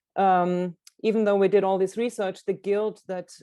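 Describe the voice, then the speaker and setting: A woman with a German accent speaks at a moderate pace in a dark, mellow tone. Her intonation stays fairly even. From Germany, Karlsruhe. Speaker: illustrator and author. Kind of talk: book presentation talk.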